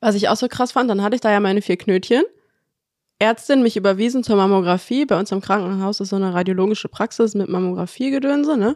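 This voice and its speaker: Her medium-pitched voice showing ordinary pitch variation, a woman talks at a very fast pace. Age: 20s. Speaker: anaesthesia technical assistant trainee. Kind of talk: casual interview chat.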